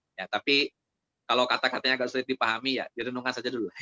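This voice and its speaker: Very fast in pace, a man talks at a medium pitch. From Indonesia, Sundanese (West Java). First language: Sundanese (speaking Indonesian). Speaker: Islamic preacher. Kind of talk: religious study Q&A. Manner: conversational, with fillers.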